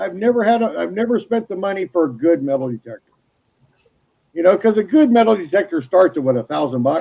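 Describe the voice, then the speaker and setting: Moving at a fairly quick pace, a man speaks at a high pitch with very wide pitch swings. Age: 60s. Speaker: gold miner. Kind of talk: casual chat.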